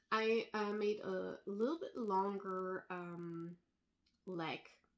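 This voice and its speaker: Intonation stays monotone and flat as a woman speaks with a non-native accent. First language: not English. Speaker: knitting designer. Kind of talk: casual vlog chat. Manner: hesitant, many fillers.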